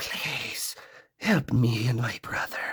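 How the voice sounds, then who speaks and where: Someone whispers. It is a put-on character voice. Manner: whispering, barely audible, pleading.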